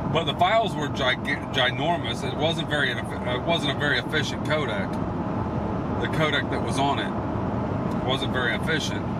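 The recording is dry with no echo, and loud background noise is present. A man speaks at a fairly slow pace. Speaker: video hobbyist vlogger. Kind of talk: casual vlog chat. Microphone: phone near.

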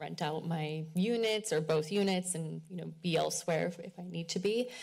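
A woman's very deep, low, somewhat breathy voice at a moderate pace, over a quiet background. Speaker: public commenter at council meeting. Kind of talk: public comment. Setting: city council meeting, podium microphone. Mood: earnest, somewhat frustrated. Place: hall. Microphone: podium.

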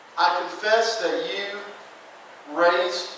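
A man speaks at a high pitch over light background noise. Strong room echo surrounds his voice. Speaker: presenter. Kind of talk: sermon. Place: church. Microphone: camera far.

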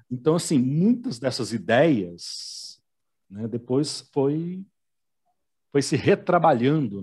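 Very slow and somewhat breathy, the speech has lively intonation and long, frequent pauses over a quiet background. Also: man, fairly high pitch for a man. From Belo Horizonte, Brazil. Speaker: telenovela commentator. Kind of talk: casual chat.

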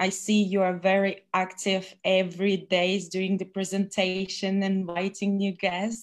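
The background is silent and the recording very clean. In it, a woman talks at a medium pitch. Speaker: international business presenter, former bartender. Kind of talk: business presentation. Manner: halting.

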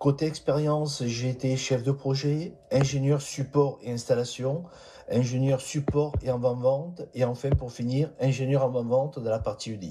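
Over light background noise, a man speaks at a fairly slow pace and medium pitch with fairly even intonation. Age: 60s. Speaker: job seeker, engineer. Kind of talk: recorded self-presentation. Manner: formal. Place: home room. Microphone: phone near.

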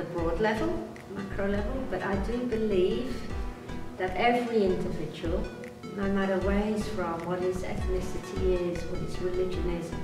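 Clear music plays behind a woman whose voice carries audible room echo. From Britain. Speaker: tour guide and motivational speaker. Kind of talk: interview answer. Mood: earnest, serious. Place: home room.

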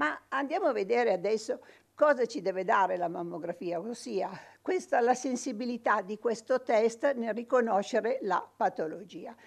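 A woman's fairly high voice at a moderate pace, quiet background behind her. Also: lively intonation. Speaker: radiologist. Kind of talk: medical lecture. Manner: impassioned; halting, many repetitions. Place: studio.

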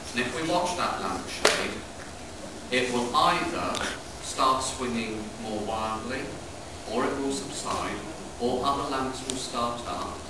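Loud background noise and audible room echo fill the recording. A man speaks at a very slow pace, with long, frequent pauses. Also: ordinary pitch variation. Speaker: heritage site custodian guide. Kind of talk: guided tour explanation. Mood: calm, storytelling. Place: tunnel cave. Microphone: camera far.

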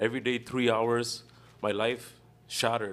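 A man speaks at a moderate pace with medium pitch. His intonation is monotone and flat. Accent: Canadian. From Canada. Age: 30s. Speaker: municipal election candidate. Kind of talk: political debate. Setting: stage with audience. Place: hall.

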